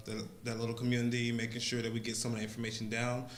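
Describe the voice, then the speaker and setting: Noticeable background noise and audible room echo fill this recording of a man with a South Carolina accent. His medium-pitched delivery stays monotone and flat. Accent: Southern US (South Carolina). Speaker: public commenter at council meeting. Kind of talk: public comment. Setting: council meeting.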